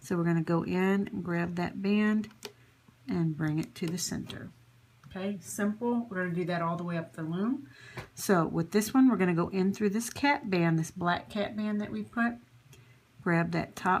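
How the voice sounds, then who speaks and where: Her intonation is lively as this woman talks. The voice, pitched at a medium level, comes across somewhat breathy. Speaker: crafting tutorial channel host. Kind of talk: tutorial. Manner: conversational, instructive, with fillers.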